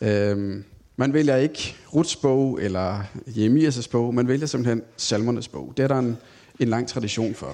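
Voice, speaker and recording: Very slowly, a man speaks at a medium pitch in a dark, mellow tone. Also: ordinary pitch variation. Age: 30s. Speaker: Bible teacher. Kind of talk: Bible study talk. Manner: hesitant, many filler sounds.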